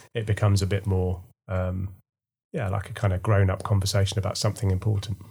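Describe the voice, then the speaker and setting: A somewhat breathy man in a monotone, flat intonation, in a very clean recording with a silent background. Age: 40s. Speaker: teacher. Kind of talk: casual chat.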